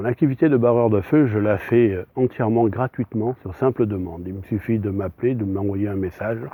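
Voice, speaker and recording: Here a man speaks at a moderate pace with a fairly low voice. His intonation stays fairly even. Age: 60s. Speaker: psychic medium. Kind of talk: self-introduction monologue. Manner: hesitant, many fillers.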